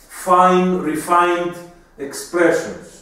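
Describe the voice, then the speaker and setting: The room echo is audible. A man speaks in a high pitch. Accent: Greek. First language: Greek. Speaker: homeopathy doctor and teacher. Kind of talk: lecture.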